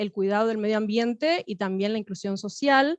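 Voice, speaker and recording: A woman speaks at a fairly high pitch with ordinary pitch variation. The sound is dry and close with no echo, over a quiet background. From Cuba. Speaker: academic panelist. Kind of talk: academic panel talk. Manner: halting, many fillers.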